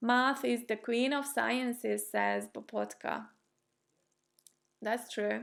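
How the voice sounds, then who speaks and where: The voice moves at a very slow pace. The recording is very clean, with a silent background. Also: woman. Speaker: chess streamer and former chess player. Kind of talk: live stream chat with viewers.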